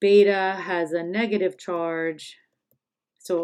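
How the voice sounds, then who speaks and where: In an ordinary speaking voice, a woman talks at a fairly low pitch with fairly even intonation. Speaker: high school chemistry teacher. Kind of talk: tutorial.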